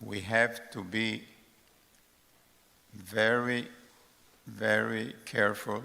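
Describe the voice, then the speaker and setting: Bright and sharp in tone, a man's medium-pitched voice carries vocal fry and a monotone, flat intonation. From Romania, Bukovina region. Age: 80s+. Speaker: Holocaust survivor. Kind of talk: testimony. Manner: halting.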